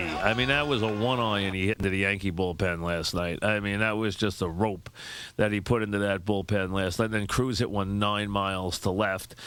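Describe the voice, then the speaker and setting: A man's fairly low voice at a moderate pace. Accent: New York. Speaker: sports radio host. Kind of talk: sports radio monologue, opinionated commentary.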